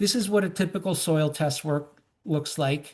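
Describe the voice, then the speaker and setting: Here a man talks at a high pitch with ordinary pitch variation. The background is quiet. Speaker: company co-founder presenting on organic lawn care. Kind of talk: webinar presentation. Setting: online webinar. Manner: fast; many filler ums.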